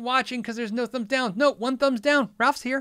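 A man's raised, projected voice at an extremely high pitch, bright and sharp in tone, against a quiet background. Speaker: podcast host and guitar YouTuber; podcast host, guitar YouTuber. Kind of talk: casual live-stream chat. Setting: live stream from computer. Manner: rambling, filler words, conversational. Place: home room.

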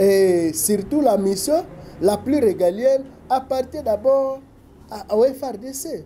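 Light background noise runs under the clip. A man speaks with lively intonation. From DR Congo. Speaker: political analyst. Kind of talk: talk show interview. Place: office.

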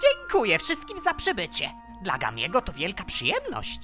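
A cartoonish character voice speaks over clear background music. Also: moderate pace. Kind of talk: fan dub of cartoon scene.

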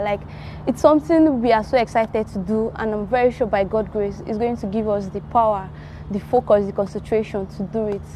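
A woman speaks at a fairly quick pace with ordinary pitch variation. The sound is dry with no echo, over light background noise. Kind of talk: interview answer. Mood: cheerful, smiling. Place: garden. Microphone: lapel.

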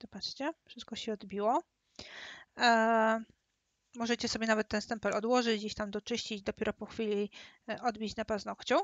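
Her intonation fairly even, a woman with a fairly high-pitched voice speaks at a moderate pace with long, frequent pauses. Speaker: nail stamping instructor. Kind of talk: webinar tutorial. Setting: live webinar with camera. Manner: speaking louder than usual.

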